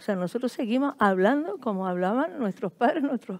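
Using an unremarkable speaking voice, a woman with a fairly high pitch talks at a fairly quick pace with lively intonation. The recording is very clean, with a silent background and a dry, close sound with no echo. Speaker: writer. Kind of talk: panel discussion. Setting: stage with audience.

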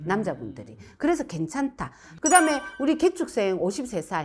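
Woman at a moderate pace with very wide pitch swings. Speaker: fortune teller. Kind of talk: fortune-telling reading. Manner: explanatory, conversational.

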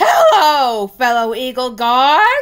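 The put-on character voice moves with lively intonation. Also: woman. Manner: silly, put-on voice.

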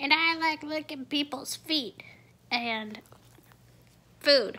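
This put-on character voice sits high in pitch and moves at a very slow pace. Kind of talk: casual vlog chat, playful pet voice. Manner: doing a bad impression. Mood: playful, affectionate.

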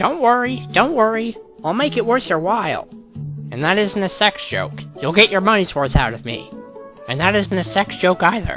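Clear music plays behind a cartoonish character voice at a middle pitch and a moderate pace. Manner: brash, sarcastic, joking.

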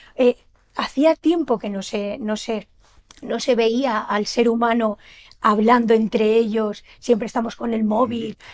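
The woman keeps her intonation fairly even. Her pace is fairly slow. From Valencian Community (Almassora, Castellón); Valencian Community. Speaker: shop owner and event organizer; guest. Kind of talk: TV interview. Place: studio.

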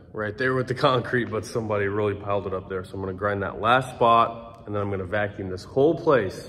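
Using an ordinary speaking voice, a man talks in a fairly low pitch with ordinary pitch variation. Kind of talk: casual vlog chat. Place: workshop. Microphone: phone near.

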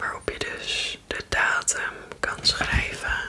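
A woman whispers at a very slow pace. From Netherlands. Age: 20s. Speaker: ASMR creator. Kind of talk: casual talk to camera, ASMR unboxing. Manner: soft-spoken, whispered. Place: home room. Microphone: studio mic.

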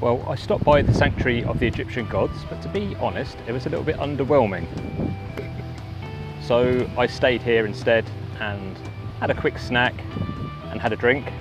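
Moderate pace and ordinary pitch variation, with long, frequent pauses, in a dry sound with no echo over clear background music. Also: man. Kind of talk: casual vlog chat. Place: waterside. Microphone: phone near.

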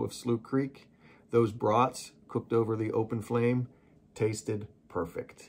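This man talks in a monotone, flat intonation. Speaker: channel host. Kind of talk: narration to camera. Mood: wry, joking. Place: home room.

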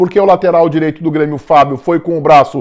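A man speaks against a quiet background. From southern Brazil (Rio Grande do Sul). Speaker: football commentator. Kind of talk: sports commentary monologue. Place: home room. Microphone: lapel.

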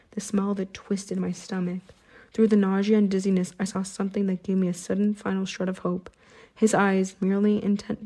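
Heard here is a natural reading voice.

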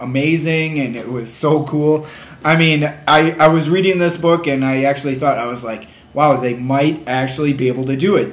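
This man talks with fairly even intonation. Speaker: book reviewer. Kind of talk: casual vlog chat. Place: home room. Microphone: webcam.

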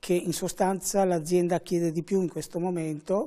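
Against a quiet background, a man with a high pitch speaks in a dark, mellow tone. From Venice, Veneto, Italy; Veneto, Italy. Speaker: fashion school director. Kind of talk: TV interview. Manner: measured. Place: studio. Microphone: lapel.

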